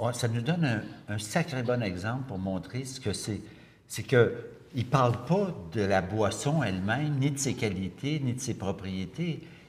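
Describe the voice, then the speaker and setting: Somewhat breathy, a man speaks very slowly in a Quebec accent, his pitch swinging very widely. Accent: Québécois French. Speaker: interviewer. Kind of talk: casual chat. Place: studio.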